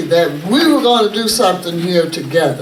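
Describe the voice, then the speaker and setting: A woman with an American accent and very wide pitch swings, amid audible room echo and noticeable background noise. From Kansas City, Kansas. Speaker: activist and artist. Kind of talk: talk to an audience. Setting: gallery event with audience. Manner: animated.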